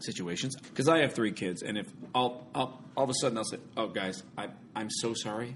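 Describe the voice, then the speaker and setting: The pace runs fairly quick. It is an ordinary speaking voice. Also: man. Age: 40s. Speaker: stage actor. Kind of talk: casual chat.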